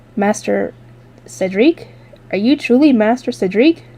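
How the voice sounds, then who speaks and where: Using a put-on character voice, a woman talks at a moderate pace with a fairly high, shaky pitch and lively intonation. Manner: trembling, fearful.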